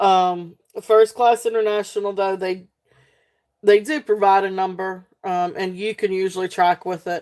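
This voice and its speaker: A woman with a Southern US accent at a medium pitch, monotone and flat, at a fairly slow pace on a very clean recording with a silent background. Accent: Southern twang without the country twang. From South Central Virginia, near North Carolina. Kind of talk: live sale stream. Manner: casual, filler-heavy with many ums.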